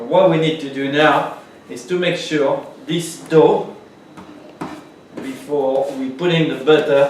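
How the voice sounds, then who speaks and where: With a French accent, a fairly high-pitched man speaks at a very slow pace with long, frequent pauses, fairly even intonation and big swings in loudness, over noticeable background noise and audible room echo. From France. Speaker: pastry chef. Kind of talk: cooking tutorial. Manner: casual, chatty.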